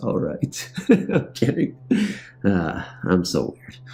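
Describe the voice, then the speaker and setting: Music plays in the background as a man speaks in a fairly low voice. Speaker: horror story narrator. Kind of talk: casual chat. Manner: slurring words.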